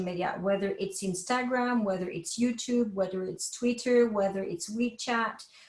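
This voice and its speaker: A woman's fairly high voice moves at a moderate tempo, its pitch rising and falling by ordinary amounts. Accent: French. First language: French. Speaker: professor. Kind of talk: lecture.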